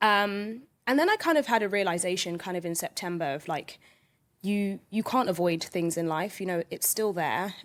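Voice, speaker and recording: A woman with a London accent at a medium pitch and moderate pace, on a very clean recording with a silent background. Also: ordinary pitch variation. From London, England. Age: 20s. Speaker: podcast guest. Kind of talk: casual interview chat.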